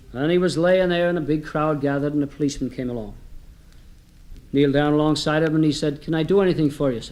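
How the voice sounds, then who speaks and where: With an Irish accent, a man speaks at a very fast pace with ordinary pitch variation. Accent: occasional put-on Irish brogue. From United States. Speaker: comedian. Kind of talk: comedy storytelling to live audience.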